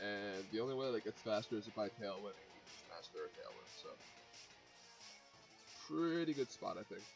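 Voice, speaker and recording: A man at a medium pitch and moderate pace, long, frequent pauses, music in the background. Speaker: competitive video game player. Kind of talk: gameplay commentary.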